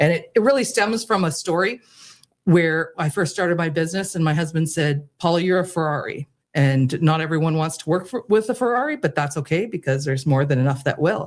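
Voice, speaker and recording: In a Canadian accent, a woman with a fairly low pitch talks at a fairly quick pace with an animated tone and lively intonation. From Canada. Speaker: keynote speaker and business owner. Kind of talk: radio interview. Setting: radio studio.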